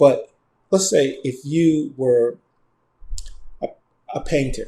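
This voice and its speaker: Somewhat breathy and dark, the man's voice has a mellow tone. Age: 60s. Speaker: screenwriter. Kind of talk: interview. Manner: halting.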